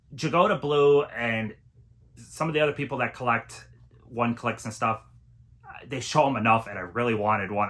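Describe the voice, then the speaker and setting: Over noticeable background noise, a man talks at a fairly quick pace with ordinary pitch variation. He leaves long, frequent pauses. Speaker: physical media collector vlogger. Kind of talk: casual haul video monologue. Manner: enthusiastic, casual.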